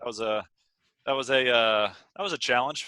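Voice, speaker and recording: Dry and close with no echo, a man with an American accent speaks at a moderate pace and medium pitch in a bright, sharp tone. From US South, Atlanta, Georgia. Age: 20s. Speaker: pro basketball player. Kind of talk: interview.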